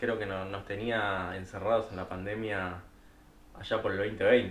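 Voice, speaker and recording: A man with a Rioplatense accent speaks in a fairly low pitch. Audible room echo and noticeable background noise fill the recording. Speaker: podcast co-host. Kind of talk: casual chat.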